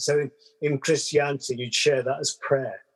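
Using fairly even intonation, a man speaks in a medium pitch with a southern English accent. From London, England. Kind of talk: casual chat.

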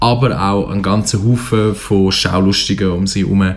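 Against noticeable background noise, a man talks with a Swiss accent. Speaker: literature radio show co-host. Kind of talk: book discussion. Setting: radio studio.

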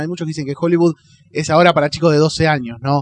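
Fairly high in pitch, a man speaks with fairly even intonation. The sound is dry and close, with no echo. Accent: Rioplatense. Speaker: podcast host. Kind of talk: casual chat.

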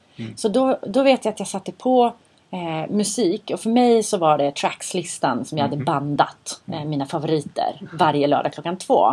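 A woman's medium-pitched voice with a dark, mellow tone, very wide pitch swings and a moderate pace. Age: 40s. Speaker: podcast host. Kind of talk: casual chat. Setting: studio.

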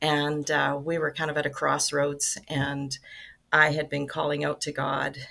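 Speaking at a fairly slow pace, a woman uses a very deep, low pitch and a bright, sharp tone, with monotone, flat intonation. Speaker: nonprofit ministry director. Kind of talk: casual interview chat.

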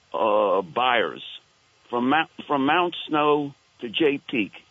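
Speaking with a Brooklyn accent, a man uses a fairly high pitch. His pace is very slow. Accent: Brooklyn New York. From Queens/Brooklyn, New York. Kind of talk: call-in comment. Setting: phone call.

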